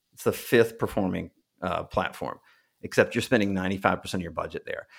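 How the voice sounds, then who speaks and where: The speaker is a man. His voice is captured in a very clean recording with a silent background. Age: 40s. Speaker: marketing agency owner, former political campaign consultant. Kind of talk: interview.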